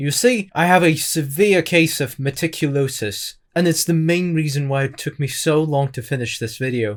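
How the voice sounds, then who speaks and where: A man speaks with a fairly high pitch and ordinary pitch variation. His moderate pace has hardly any pauses. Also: very clean recording, silent background. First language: not English. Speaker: video essayist. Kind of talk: scripted narration.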